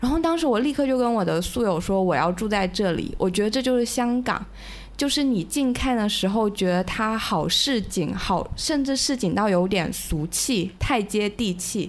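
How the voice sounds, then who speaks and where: A woman with a plain, everyday voice speaks at a moderate pace and a fairly high pitch. Her intonation is lively and her loudness very even. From Hunan, mainland China. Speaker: guest, former Hong Kong resident. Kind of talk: casual chat. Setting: home, dark room at night.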